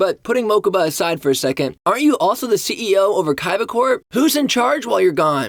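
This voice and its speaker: Very wide pitch swings mark this man's speech, delivered at a very fast pace. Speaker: commentary video host. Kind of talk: casual commentary.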